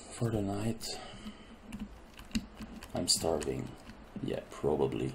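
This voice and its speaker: A soft-spoken man with a very deep, low pitch, very wide pitch swings and a very slow pace, over noticeable background noise. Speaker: gamer. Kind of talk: casual gameplay commentary. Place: home room.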